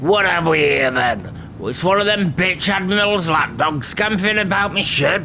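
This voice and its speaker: A man's put-on character voice, high-pitched and at a moderate pace with hardly any pauses, over clear background noise. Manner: gruff, taunting.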